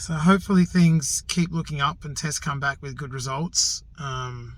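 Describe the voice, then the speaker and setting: Here a man talks at a moderate pace with a fairly high pitch and fairly even intonation. His voice is somewhat breathy, with big swings in loudness. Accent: Australian. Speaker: outdoors vlogger. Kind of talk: personal vlog. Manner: quiet; halting.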